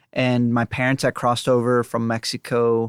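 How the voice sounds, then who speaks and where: Recorded dry and close with no echo, against a silent background in a very clean recording, a man talks at a medium pitch. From Southeast Texas, Port Arthur. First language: Spanish. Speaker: illustrator and game designer. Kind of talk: casual chat.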